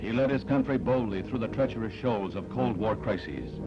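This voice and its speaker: A man with a medium pitch speaks at a fairly quick pace in a solemn, dramatic tone. His pitch varies in an ordinary way, with music in the background. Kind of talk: newsreel narration. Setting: archival film soundtrack.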